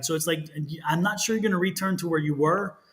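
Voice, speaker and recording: Over noticeable background noise, a man with an American accent talks at a very fast pace, his pitch high with ordinary variation. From Texas. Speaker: tarot reader. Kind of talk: live stream tarot readings. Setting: live stream.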